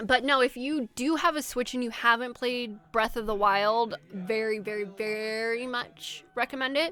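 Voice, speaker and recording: A woman's fairly high, bright, sharp voice, animated in tone, with ordinary pitch variation and a fairly slow pace, on a very clean recording over a silent background. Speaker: streamer. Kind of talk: casual chat. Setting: live stream.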